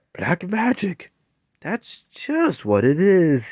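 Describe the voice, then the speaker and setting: A put-on character voice at a middle pitch and a very slow pace, on a very clean recording with a silent background. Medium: read story. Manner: pompous, fretful.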